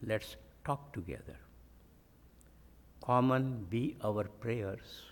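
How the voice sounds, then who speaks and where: At a very slow pace, a man speaks in a somewhat breathy voice of medium pitch with ordinary pitch variation. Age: 90s. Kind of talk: sermon.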